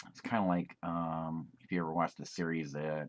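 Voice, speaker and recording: A man with an American accent, very deep and low in pitch, at a moderate pace. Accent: funny accent (own words). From United States. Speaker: YouTuber. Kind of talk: casual monologue. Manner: rambling, hesitant with fillers.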